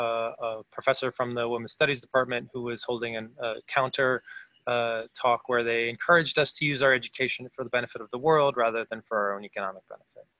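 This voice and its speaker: Speaking in an American accent, a man delivers his words at a fairly quick pace in a medium pitch with monotone, flat intonation. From Philadelphia, US. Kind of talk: interview conversation. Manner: halting, with repeated words.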